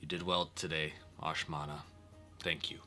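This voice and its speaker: Over clear music in the background, a man performs a put-on character voice. His delivery is raspy and comes at a moderate pace. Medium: actual play. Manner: formal, dignified.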